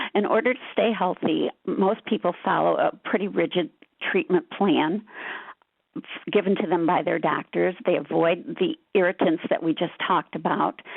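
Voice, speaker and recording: Speaking with an ordinary speaking voice, a woman has a fairly low pitch. Her pace is moderate and her intonation lively. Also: very even loudness. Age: 60s. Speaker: patient advocate. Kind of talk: webinar presentation.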